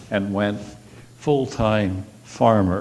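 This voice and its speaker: Recorded with audible room echo, a man speaks with an American accent at a fairly low pitch and with fairly even intonation. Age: 80s+. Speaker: congregation member, retired farmer. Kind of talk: personal talk at a church service. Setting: church service, seated.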